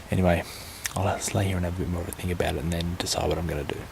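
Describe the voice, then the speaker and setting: Whispering from a man with an Australian accent at a very fast pace, with noticeable background noise. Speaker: vlogger. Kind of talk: casual vlog monologue. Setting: outdoors, camping in the bush at night. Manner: hesitant, musing.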